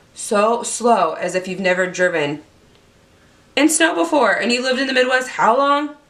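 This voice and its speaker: Noticeable background noise sits behind a woman speaking at a fairly slow pace. Her tone is animated, with lively intonation. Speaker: beauty YouTuber. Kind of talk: product review vlog.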